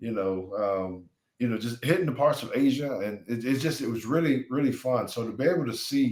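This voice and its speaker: A man speaks at a medium pitch and a moderate pace. He has an ordinary speaking voice. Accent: American. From US South (Alabama). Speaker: retired NFL player. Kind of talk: interview.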